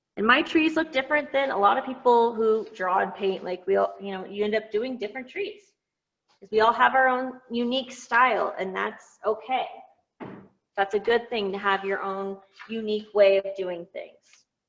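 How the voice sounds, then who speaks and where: This woman's voice sits fairly high and moves at a moderate pace. Her loudness swings widely, while her pitch varies an ordinary amount. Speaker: painting teacher. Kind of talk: tutorial. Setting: video call. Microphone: far from the device, may be hard to hear.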